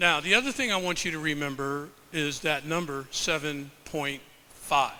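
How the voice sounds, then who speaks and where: A man speaks loudly at a very slow pace. His tone is bright and sharp, and the room echo is audible. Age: 70s. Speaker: professor and health researcher. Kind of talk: presentation to a live audience. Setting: stage with audience.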